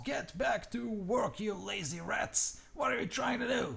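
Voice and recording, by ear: A man's high-pitched, shouting put-on character voice over light background noise. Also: moderate pace.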